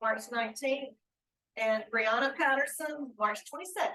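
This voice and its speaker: The voice is loud, with a bright, sharp tone. Its pitch varies in an ordinary way. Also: woman. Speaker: county HR staff member. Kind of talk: public meeting report. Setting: county commission meeting room. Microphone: no microphone.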